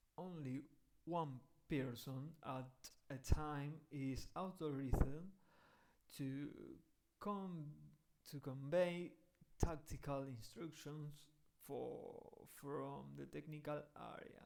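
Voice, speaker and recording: A man with a fairly high pitch talks at a very slow pace, his intonation fairly even. His loudness swings widely, and he leaves long, frequent pauses. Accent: Spanish. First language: Spanish. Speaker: football rules educator. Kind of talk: reading aloud. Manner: halting.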